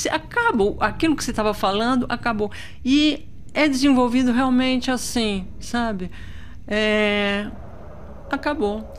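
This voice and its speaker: A woman speaks in a high voice at a fairly slow pace, with ordinary pitch variation. Long pauses come often, and light background noise can be heard. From Brazil, São Paulo. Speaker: visual artist and video maker; guest. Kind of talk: interview. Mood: enthusiastic, warm.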